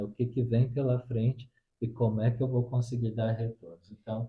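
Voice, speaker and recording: A somewhat breathy male voice of medium pitch at a moderate pace. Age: 40s. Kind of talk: interview answers. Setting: at the guest's home.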